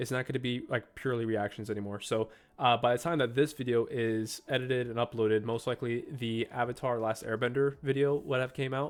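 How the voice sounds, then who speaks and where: Speaking at a fairly quick pace with hardly any pauses, a man uses a medium pitch. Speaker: manga reaction youtuber. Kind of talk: casual chat to camera, video outro. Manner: casual, filler-heavy.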